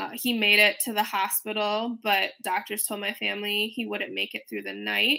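This woman has an American accent and a fairly high voice. Her tone is bright and sharp, and her intonation stays fairly even. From Chicago, Illinois. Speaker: startup founder. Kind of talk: casual panel interview. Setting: remote video call.

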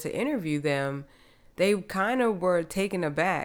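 A woman speaks with an American accent. Her voice is fairly low-pitched with a warm tone. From US Northeast (New Jersey). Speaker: podcast host. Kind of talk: solo podcast monologue. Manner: casual, warm.

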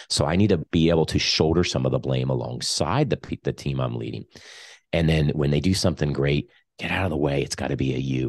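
Over a quiet background, a man speaks in a very deep, low voice with vocal fry. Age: 40s. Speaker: leadership coach and author. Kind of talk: interview.

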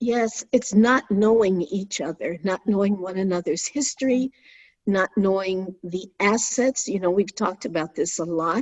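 A woman with an unremarkable speaking voice, a medium pitch, ordinary pitch variation and a moderate pace. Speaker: podcast co-host, retired educator. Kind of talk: casual interview conversation.

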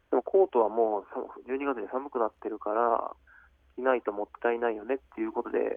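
Speaking at a fairly quick pace, a man with a medium pitch has an unremarkable speaking voice. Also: ordinary pitch variation. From Japan, Aichi Prefecture. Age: 30s. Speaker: professional basketball player. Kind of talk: radio interview. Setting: phone call.

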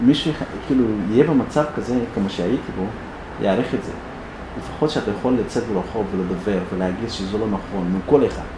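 A man speaks at a moderate pace in a fairly low pitch. Noticeable background noise and audible room echo surround him. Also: ordinary pitch variation. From Sudan, Darfur. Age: 20s. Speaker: refugee activist. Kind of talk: public talk. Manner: halting.

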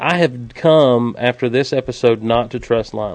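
A man with an American accent speaks at medium pitch and a moderate pace. His intonation is fairly even, and he has a plain, everyday voice. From US South, Georgia. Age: 30s. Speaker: podcast co-host. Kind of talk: casual chat.

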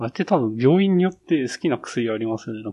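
A man speaks at a medium pitch with a dark, mellow tone. His intonation is lively and his pace fairly quick. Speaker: office worker. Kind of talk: casual chat. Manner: casual, laughs often.

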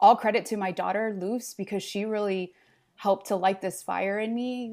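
A woman with a normal speaking voice talks at a fairly high pitch with fairly even intonation, on a very clean recording against a silent background. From Los Angeles, Mexican immigrant family. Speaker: marketing communications consultant. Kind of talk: podcast interview.

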